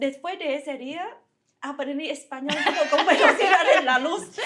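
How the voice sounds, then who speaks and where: With a Vietnamese accent, a woman speaks at a fairly slow pace. Her voice is high-pitched, with lively intonation. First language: Vietnamese (speaking Spanish). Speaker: physics researcher. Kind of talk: interview storytelling.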